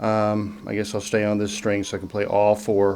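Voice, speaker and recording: There is noticeable background noise as a man talks in a Southern US accent. His voice is fairly low in pitch. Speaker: music teacher. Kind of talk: tutorial. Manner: casual, with fillers.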